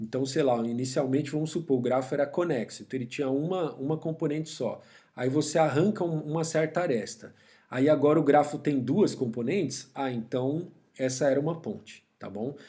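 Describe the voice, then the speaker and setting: Man with a dark, mellow tone, fairly high pitch and ordinary pitch variation. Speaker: university professor. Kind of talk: lecture. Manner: fast.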